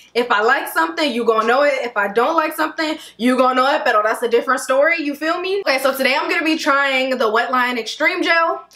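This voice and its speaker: A woman's raised, projected voice races at a very fast pace with hardly any pauses and lively intonation. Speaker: hair care vlogger. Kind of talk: casual vlog chat.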